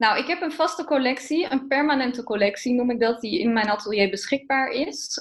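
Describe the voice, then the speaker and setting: A woman's high voice moves at a moderate pace with ordinary pitch variation, heard over noticeable background noise. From eastern Netherlands. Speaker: fashion designer. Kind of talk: interview.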